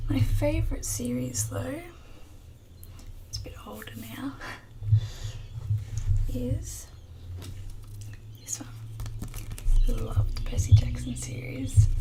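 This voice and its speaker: Soft-spoken and very slow, with long, frequent pauses and noticeable background noise. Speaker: bookshop shopkeeper (roleplay). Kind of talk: ASMR bookshop roleplay, soft speaking to camera. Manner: soft-spoken, quiet.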